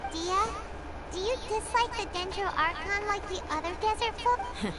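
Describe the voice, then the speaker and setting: An extremely high put-on character voice moves at a moderate pace over loud background noise. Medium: game stream. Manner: excitable, chatty.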